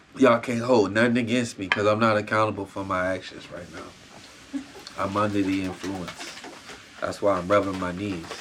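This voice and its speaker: Amid noticeable background noise and audible room echo, a man with a fairly low pitch speaks at a moderate pace. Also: fairly even intonation. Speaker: podcast host. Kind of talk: casual chat.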